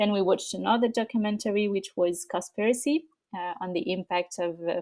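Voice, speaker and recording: A woman speaks with a French accent in a dark, mellow tone. Her pitch varies in an ordinary way, and the recording is very clean with a silent background. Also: dry, close sound with no echo. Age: young. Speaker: nonprofit co-founder. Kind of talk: interview. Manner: halting, many fillers.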